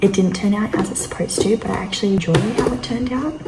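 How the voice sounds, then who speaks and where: A woman whispers in an Australian accent. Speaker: fitness vlogger. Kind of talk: casual vlog narration. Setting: at home, early morning. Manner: whispering.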